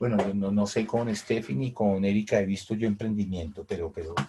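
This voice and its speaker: A man's fairly low, somewhat breathy voice with a dark, mellow tone, ordinary pitch variation and a fairly quick pace. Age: 60s. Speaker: teacher. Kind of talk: online class. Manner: halting, many repetitions.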